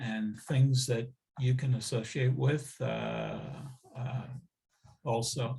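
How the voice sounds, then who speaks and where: A man speaks very slowly at a medium pitch, his voice somewhat breathy. The recording is very clean, with a silent background. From US Midwest, moved to Israel at 14. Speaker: interviewee recounting life story. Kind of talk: oral history interview. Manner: halting, many fillers.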